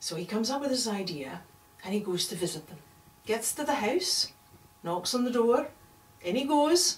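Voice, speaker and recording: A woman speaks with very wide pitch swings and long, frequent pauses over noticeable background noise. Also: moderate pace. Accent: Scottish. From Scotland. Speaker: storyteller. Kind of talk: oral storytelling performance.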